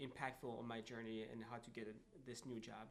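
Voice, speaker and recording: The speaker is a man. His voice carries an audible room echo. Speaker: job seeker who found work. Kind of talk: interview conversation. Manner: halting, many fillers.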